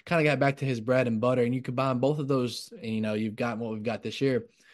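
A man speaks in a normal speaking voice at medium pitch. His pitch varies in an ordinary way against a quiet background. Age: 20s. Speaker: sports podcast host. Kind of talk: casual chat.

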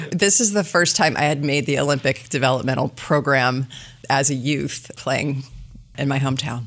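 Over noticeable background noise, a woman with an American accent speaks at a very deep, low pitch. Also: ordinary pitch variation. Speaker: business development executive. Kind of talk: casual interview chat. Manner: fast talker.

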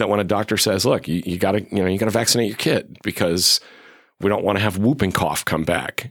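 In an American accent, a man talks at a very fast pace and a fairly low pitch with ordinary pitch variation. The recording is very clean, with a silent background. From western Massachusetts. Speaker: professor of national security, author. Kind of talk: interview.

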